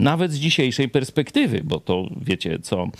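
A man's pitch rises and falls very widely as he speaks at a moderate pace. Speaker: pastor and TV host. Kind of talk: casual chat. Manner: loud, often raised voice.

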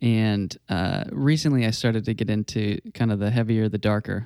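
Speaking with a Southern US accent, a man has a fairly low pitch, a dark, mellow tone, ordinary pitch variation and a moderate pace, on a very clean recording with a silent background. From US South. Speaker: enneagram coach. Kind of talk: casual chat.

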